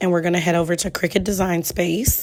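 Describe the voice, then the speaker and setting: This is a woman speaking at a medium pitch. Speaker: crafting YouTuber. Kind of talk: tutorial. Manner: casual, conversational.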